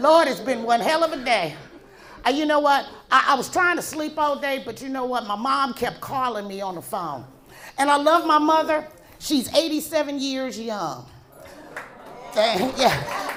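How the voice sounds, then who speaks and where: A woman's high voice with lively intonation and long, frequent pauses, at a moderate pace, with audible room echo. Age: 60s. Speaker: comedian. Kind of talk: stand-up. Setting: stage with audience.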